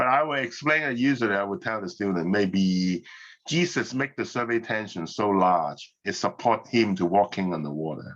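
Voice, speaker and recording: A man's plain, everyday voice, fairly low in pitch, with lively intonation at a moderate pace against a quiet background. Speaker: physics professor. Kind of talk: lecture. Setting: online class.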